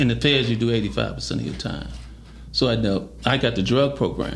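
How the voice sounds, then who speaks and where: The voice has lively intonation and vocal fry at a moderate pace. Room echo is audible. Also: man. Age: 60s. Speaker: former prisoner telling his life story. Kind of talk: interview storytelling. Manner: animated.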